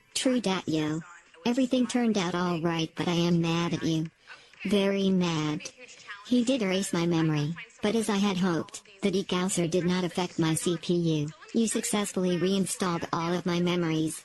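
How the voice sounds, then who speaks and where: A put-on character voice, female-sounding and fairly low-pitched for a woman. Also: moderate pace. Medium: audio drama. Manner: flat, literal, robotic.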